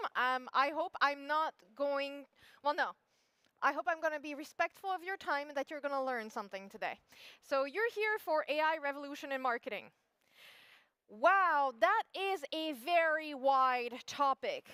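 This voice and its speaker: A woman with a French accent speaks at a moderate pace in a high pitch, her raised, projected voice bright and sharp, her intonation lively, and the sound dry and close with no echo. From France. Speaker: SEO expert, conference speaker. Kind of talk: conference talk. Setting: stage with audience. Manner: animated.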